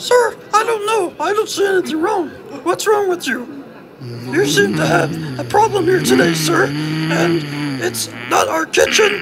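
A man's cartoonish character voice at a fairly slow pace, with clear background noise. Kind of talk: comic overacting. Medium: puppet show. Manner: fussy, defensive, exasperated.

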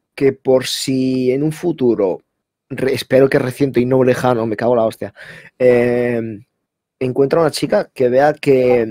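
A man's medium-pitched voice at a very slow pace. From Spain (half Basque, half Moroccan). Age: 20s. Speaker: interviewee, assault survivor. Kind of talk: casual interview, personal testimony. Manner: halting, repeats words.

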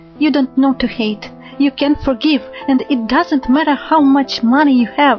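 Over music in the background, a woman with a non-native accent speaks at a moderate pace in a high pitch, with ordinary pitch variation and very even loudness. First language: not English. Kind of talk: love poetry reading.

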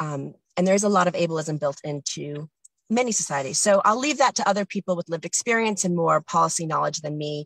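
Speaking at a very fast pace, a woman with a North American accent uses lively intonation in a fairly low voice, recorded with a dry, close sound and no echo. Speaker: communication access professional. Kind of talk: committee submission. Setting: in a car, video call.

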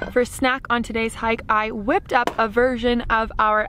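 A woman at a moderate pace with fairly even intonation, in a dry sound with no echo. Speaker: travel vlogger. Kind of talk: casual vlog chat. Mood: cheerful, smiling. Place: open country. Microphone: phone near.

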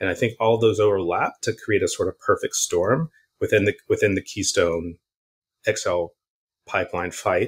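On a very clean recording against a silent background, a man is speaking. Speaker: climate organizer. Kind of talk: interview.

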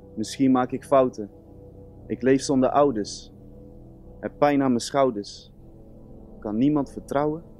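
Long, frequent pauses break up fairly slow speech with fairly even intonation, a dry sound with no echo and faint music in the background. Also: man. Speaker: music student. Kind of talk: spoken word performance. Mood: earnest, emotional. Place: stage. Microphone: studio mic.

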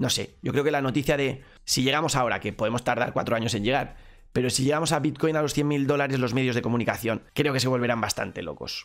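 A man talks at a very fast pace. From Spain. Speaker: crypto streamer. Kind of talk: live stream Q&A. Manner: animated. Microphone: studio mic.

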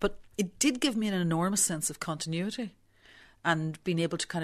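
Against a quiet background, a woman with a Belfast accent talks at a moderate pace. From Northern Ireland, Belfast. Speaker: visual artist. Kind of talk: interview. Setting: studio.

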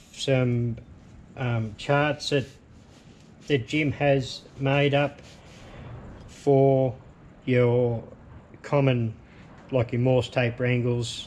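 A man delivers his words at a very slow pace in a flat monotone. Long pauses recur often over light background noise. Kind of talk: tutorial. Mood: relaxed, casual. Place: workshop.

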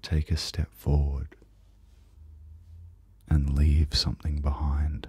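A soft-spoken man with a very deep, low pitch and a dark, mellow, soothing tone. His intonation is monotone and flat, and the sound is dry with no echo. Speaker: guided sleep meditation host. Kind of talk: soft guided meditation. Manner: soft, slow, soothing low voice. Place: home room.

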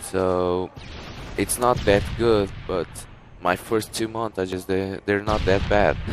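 In a Portuguese accent, a man speaks very slowly at a fairly low pitch, his intonation monotone and flat, with noticeable background noise behind him. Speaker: gaming YouTuber. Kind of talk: gameplay commentary. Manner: halting.

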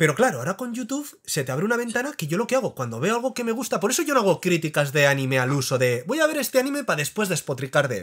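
Over a very clean recording with a silent background, a man pitched high for his sex talks at a very fast pace with very wide pitch swings and hardly any pauses. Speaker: anime YouTuber. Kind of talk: casual chat.

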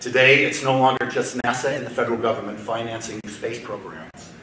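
Delivered at a moderate pace, the speech comes with audible room echo and noticeable background noise. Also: man. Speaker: state government aerospace official. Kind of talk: conference welcome speech. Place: hall. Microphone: podium.

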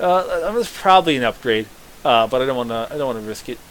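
A man with an American accent speaks in an animated tone over noticeable background noise. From US, Southern Maryland. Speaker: gaming YouTuber. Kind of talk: let's play commentary. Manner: casual, animated.

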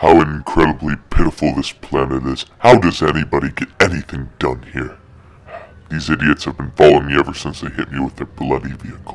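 Putting on a character voice, a man talks at a fairly quick pace in a very deep, low register. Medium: machinima. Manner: contemptuous, scheming.

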